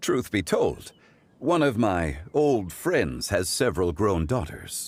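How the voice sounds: A man puts on a character voice, fairly low-pitched with a slightly mellow tone. He talks slowly, with big pitch swings.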